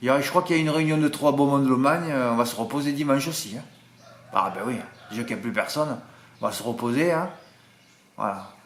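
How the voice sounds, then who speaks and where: Audible room echo surrounds a man with a fairly high pitch and ordinary pitch variation. He talks at a very fast pace but leaves long, frequent pauses. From southern France (Marseille). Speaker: horse racing tipster. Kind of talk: casual chat to viewers, reading comments. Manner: animated, chatty.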